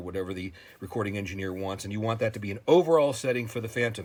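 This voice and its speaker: A man's fairly low voice shows ordinary pitch variation. The background is silent and the recording very clean. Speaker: synthesizer tutorial video creator. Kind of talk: tutorial. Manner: fast; hesitant, many fillers.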